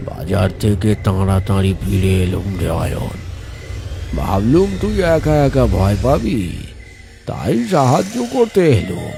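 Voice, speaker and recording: A man puts on a character voice, hoarse and raspy at a fairly low pitch. He talks at a fairly slow pace over clear background noise. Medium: cartoon. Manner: feigned warmth.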